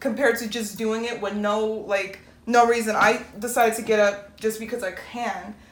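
Audible room echo around a woman speaking in a fairly high register. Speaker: podcast co-host. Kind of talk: casual chat. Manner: firm, assertive delivery.

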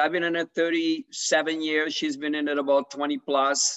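Fairly high in pitch, a man talks in a plain, everyday voice with ordinary pitch variation. The sound is dry and close with no echo, over a quiet background. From Canada. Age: 50s. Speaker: podcast host and real estate agent. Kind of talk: casual interview.

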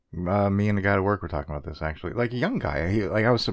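A man talks with a fairly low pitch and ordinary pitch variation. It is an unremarkable speaking voice. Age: 30s. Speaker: podcast co-host and novelist. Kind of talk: casual chat.

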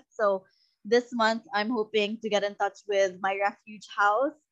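In a Visayan Filipino accent, a woman with a fairly high, bright, sharp voice speaks in a flat monotone, the sound dry and close with no echo. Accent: Filipino (Cebuano) English. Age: 30s. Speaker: content creator and podcaster. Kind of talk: casual interview chat.

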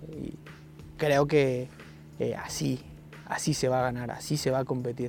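Over music in the background, a man with a medium pitch and lively intonation speaks at a fairly slow pace with long, frequent pauses. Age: 30s. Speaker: football coach. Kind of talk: interview.

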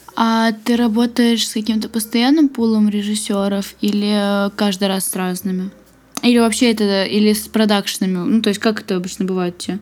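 At a moderate pace, a woman with a normal speaking voice talks at a fairly high pitch with fairly even intonation. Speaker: podcast host. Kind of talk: interview. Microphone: laptop fan noise.

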